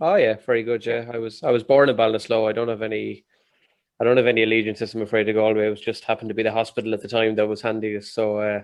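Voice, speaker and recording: The speech comes at a very fast pace in an Irish Midlands accent. Its intonation stays monotone and flat. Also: man, medium pitch for a man. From Ireland, Westmeath. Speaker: podcast host. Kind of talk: casual chat.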